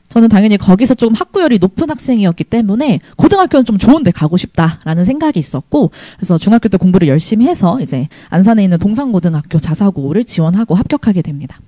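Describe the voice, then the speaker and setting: Talking at a very fast pace, a woman with a medium pitch and a somewhat breathy voice makes very wide pitch swings, heard in a dry, close sound with no echo. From South Korea, Gyeonggi (Hwaseong). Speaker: math teacher. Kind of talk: presentation to parents and students. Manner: trembling voice.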